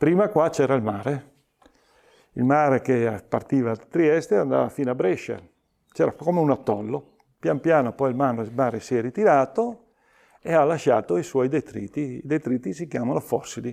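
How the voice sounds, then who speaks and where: With lively intonation and long, frequent pauses, a man speaks at a medium pitch in a dark, mellow tone against a quiet background. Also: moderate pace. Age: 70s. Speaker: local history enthusiast. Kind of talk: interview. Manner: halting.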